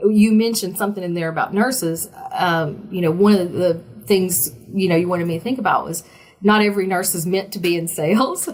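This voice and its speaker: Over noticeable background noise, a woman with a Southern US accent talks at a fairly quick pace, her medium pitch showing ordinary variation. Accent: Southern US accent, less thick than before. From small-town Virginia. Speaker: oncology sales representative, former nurse. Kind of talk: interview. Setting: podcast. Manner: animated.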